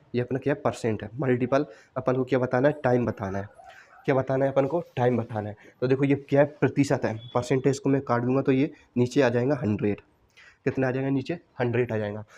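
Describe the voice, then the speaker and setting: A man with a dark, mellow tone speaks at a moderate pace with fairly even intonation. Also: medium pitch for a man. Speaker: math and reasoning teacher. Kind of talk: tutorial. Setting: classroom recording with wooden board.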